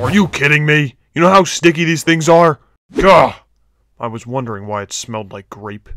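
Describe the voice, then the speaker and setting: A man puts on a character voice, fairly high in pitch, delivered at a moderate pace. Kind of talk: comic parody voice acting. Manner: menacing, then comically whiny.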